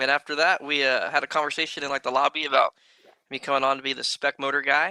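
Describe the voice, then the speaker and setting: Speaking at a very fast pace, a man with a fairly high pitch delivers a monotone, flat line in a bright, sharp tone, recorded dry and close with no echo. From San Diego, California. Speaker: RC racing industry figure. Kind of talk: casual podcast chat.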